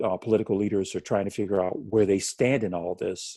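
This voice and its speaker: Recorded very cleanly with a silent background and a dry, close sound with no echo, a man speaks with an American accent in a fairly low, dark, mellow voice. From Los Angeles, US West Coast. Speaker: author and former police officer. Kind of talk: podcast interview.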